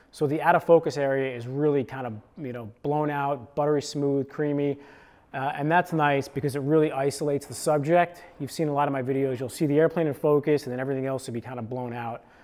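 A man rattles along at a very fast pace with fairly even intonation. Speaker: creator. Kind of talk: casual gear explainer. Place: home room. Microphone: lapel.

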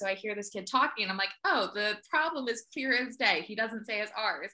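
A woman's fairly high voice with a Philadelphia accent, ordinary pitch variation and a fairly quick pace, over a quiet background. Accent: Philadelphia, rhotic, says water weirdly. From Philadelphia area, US. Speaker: speech therapist; guest. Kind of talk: casual chat. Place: home room. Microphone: video call.

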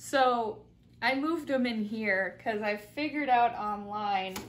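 A woman talks at a fairly slow pace in a high voice. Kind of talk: casual vlog chat. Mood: playful, laughing. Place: home room.

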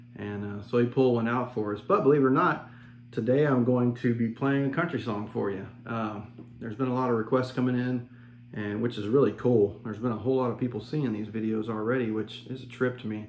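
A man at a fairly quick pace, fairly even intonation, audible room echo and light background noise. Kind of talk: casual vlog chat. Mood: relaxed, friendly. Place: home room. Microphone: phone near.

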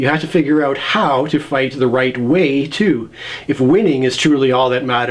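Speech in an unforced reading voice

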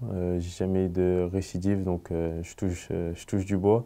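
Against a quiet background, a man speaks very slowly in a dark, mellow tone. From Paris region, France; France. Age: 20s. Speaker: professional footballer. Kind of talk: interview. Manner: halting. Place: studio.

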